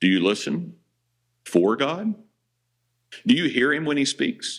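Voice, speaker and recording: A man talks at a fairly slow pace with vocal fry. His fairly high voice swings very widely in pitch. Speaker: pastor. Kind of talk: sermon. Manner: loud.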